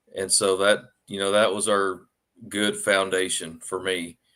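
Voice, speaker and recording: A man speaks in an Arkansas accent at a fairly low pitch and a fairly slow pace. His tone is bright and sharp, his intonation monotone and flat, and the recording is very clean with a silent background. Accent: Southern US (Arkansas). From Arkansas, US South. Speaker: author. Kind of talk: podcast interview. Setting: livestream podcast.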